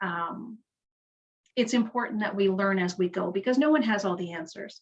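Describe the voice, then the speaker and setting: A woman talks at a moderate pace with lively intonation, her medium-pitched voice somewhat breathy. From Canada, Kingston, Ontario. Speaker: nonprofit leader. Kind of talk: community panel talk. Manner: halting, self-correcting.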